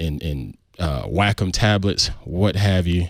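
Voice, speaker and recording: On a very clean recording with a silent background, a man with a Southern US accent speaks in a very deep, low pitch with ordinary pitch variation. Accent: southern drawl. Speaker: podcast host. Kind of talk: podcast intro and casual chat.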